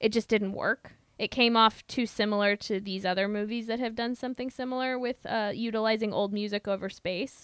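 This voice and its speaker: Speaking with a Midwestern US accent, a woman talks at a fairly quick pace in a monotone, flat intonation with hardly any pauses. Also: fairly high pitch for a woman. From US Midwest. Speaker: podcast host. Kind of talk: casual chat.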